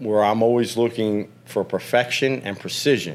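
Using an unremarkable speaking voice, a man talks at a moderate pace in a fairly low pitch with ordinary pitch variation. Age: 50s. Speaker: professional trader. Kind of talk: casual chat.

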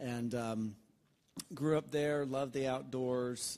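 A man with a Southern US accent and a dark, mellow tone speaks at a moderate pace with ordinary pitch variation, in a very clean recording with a silent background. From Alabama. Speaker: pastor. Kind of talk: interview. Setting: church.

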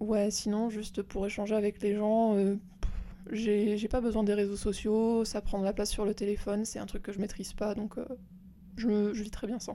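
This woman talks at a moderate pace in a medium pitch, with a dark, mellow tone. Her intonation stays monotone and flat. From rural France. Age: 20s. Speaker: host's cousin. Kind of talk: casual chat. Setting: at her home.

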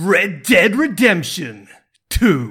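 A man's put-on character voice with high pitch. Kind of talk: announcer voice. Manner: dramatic, showy.

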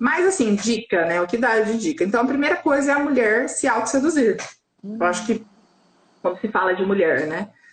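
A woman's fairly high pitch with lively intonation, over music in the background. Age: 40s. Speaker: sex coach. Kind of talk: casual chat. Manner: animated.

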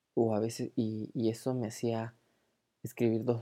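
Against a quiet background, a woman with a Peruvian accent speaks in a dark, mellow tone. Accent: Peruvian Spanish (Lima). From Peru, Lima. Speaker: podcast host. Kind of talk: casual monologue.

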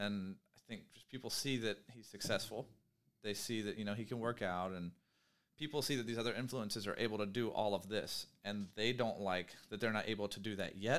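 A normal speaking voice from a man, fairly low-pitched, with fairly even intonation at a fairly quick pace. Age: 30s. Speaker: podcast host and entrepreneur. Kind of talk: casual chat.

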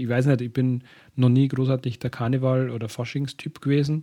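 This man's dark, mellow voice stays monotone and flat against a quiet background. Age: 30s. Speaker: solo podcast host. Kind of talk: casual monologue. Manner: hesitant with many fillers.

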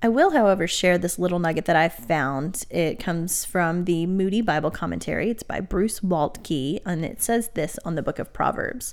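A woman with a normal speaking voice, pitched fairly low, with ordinary pitch variation. She talks at a moderate pace with hardly any pauses, in a very clean recording with a silent background. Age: 30s. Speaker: podcast co-host and seminary student. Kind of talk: casual Bible study chat.

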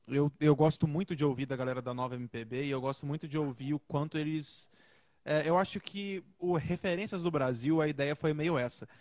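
A man's unremarkable speaking voice, fairly high in pitch with fairly even intonation, at a moderate pace in a dry, close sound with no echo. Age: 20s. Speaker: singer. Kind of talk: casual chat.

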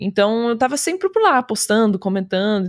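A woman's fairly high, unremarkable speaking voice with lively intonation at a fairly quick pace, dry and close with no echo, on a very clean recording against a silent background. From Rio Grande do Sul, Brazil (Osório). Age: 20s. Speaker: streamer. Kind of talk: casual chat.

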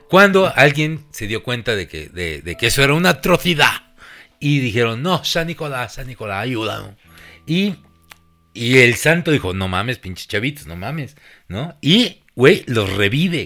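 At a fairly slow pace, a man with a Mexican accent speaks in an animated, bright, sharp tone at a medium pitch, with very wide pitch swings and vocal fry. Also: big swings in loudness. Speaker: podcast host. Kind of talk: casual chat.

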